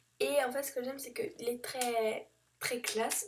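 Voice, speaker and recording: In a dark, mellow tone, a woman speaks at a fairly high pitch. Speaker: beauty vlogger. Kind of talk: product review vlog. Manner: hesitant, many fillers.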